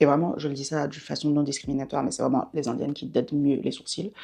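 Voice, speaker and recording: A woman talks at a fairly quick pace in a dark, mellow tone with vocal fry. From Belgium, bilingual French-German area. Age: 20s. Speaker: beauty vlogger. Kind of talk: casual vlog monologue. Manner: fast; hesitant, many fillers.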